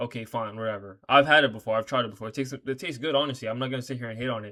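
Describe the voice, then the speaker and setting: Speaking at a very fast pace, a man keeps his voice quiet and at a medium pitch. His intonation stays fairly even. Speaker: reaction video creator. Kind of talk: casual reaction commentary. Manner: casual, profane slangy talk; speaking quietly because late.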